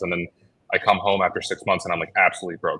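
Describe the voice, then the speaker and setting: The background is quiet. A man talks with a Chicago accent. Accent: Chicago American English. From Chicago, US Midwest. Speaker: logistics entrepreneur. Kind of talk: interview. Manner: casual, filler-heavy.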